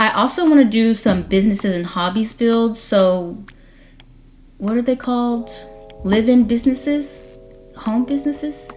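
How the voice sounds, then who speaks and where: With music playing behind her, a woman speaks at a moderate pace in a fairly high pitch, her pitch varying in an ordinary way. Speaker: Sims game YouTuber. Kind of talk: voiceover commentary over speed build. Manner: stutters and trips over words; casual, chatty.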